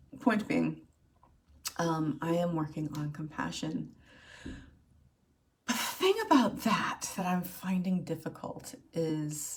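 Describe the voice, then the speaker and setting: A woman speaks at a very slow pace, leaving long, frequent pauses. Her voice is fairly low in pitch with ordinary pitch variation. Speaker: video blogger. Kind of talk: personal vlog monologue. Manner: halting, many fillers.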